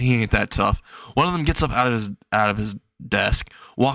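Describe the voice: The pitch varies in an ordinary way through plain reading aloud, set against a quiet background.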